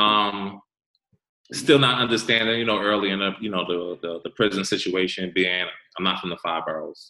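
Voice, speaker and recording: With an American accent, a man talks at a moderate pace in a normal speaking voice, his pitch fairly low and his pitch variation ordinary. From New York, Westchester County. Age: 40s. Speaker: formerly incarcerated guest. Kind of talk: casual chat.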